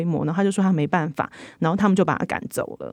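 A woman speaks with a Taiwanese accent at a medium pitch. Her pitch variation is ordinary, and the recording is very clean with a silent background. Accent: Taiwanese Mandarin. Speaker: magazine reporter. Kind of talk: interview discussion.

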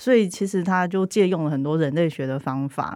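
In a very clean recording with a silent background, a woman with a Taiwanese accent speaks at a fairly low pitch with ordinary pitch variation. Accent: Taiwanese Mandarin. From central Taiwan (Changhua). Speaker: writer with anthropology background. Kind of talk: casual chat.

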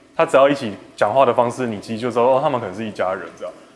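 A man at a medium pitch with ordinary pitch variation, set against noticeable background noise. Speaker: film director. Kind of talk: interview.

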